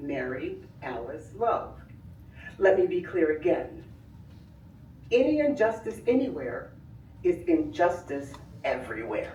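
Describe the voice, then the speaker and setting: With audible room echo, a woman of medium pitch speaks in very wide pitch swings. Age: 70s. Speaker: community member / family friend. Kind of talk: public comment at village board meeting. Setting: public meeting with audience. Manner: formal, oratorical.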